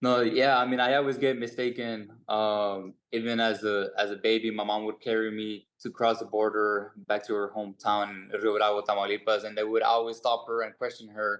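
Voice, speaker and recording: With a slight Mexican accent, a man talks at a moderate pace and a fairly low pitch in a monotone, flat delivery with hardly any pauses. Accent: Mexican Spanish-tinged English, slight. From Mexico. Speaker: boxer. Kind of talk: press conference answer. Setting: video call. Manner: halting, many fillers.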